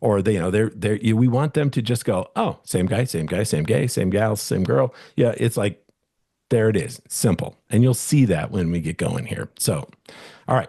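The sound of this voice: With lively intonation, a man talks at a moderate pace and a fairly low pitch, his dark, mellow tone carrying vocal fry and a slightly husky edge. The recording is very clean, with a silent background.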